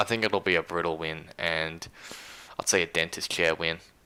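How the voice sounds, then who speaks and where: A man speaks with a very deep, low pitch. His tone is bright and sharp. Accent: Australian. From Australia. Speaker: livestream host, gaming commentator. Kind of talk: casual live stream chat.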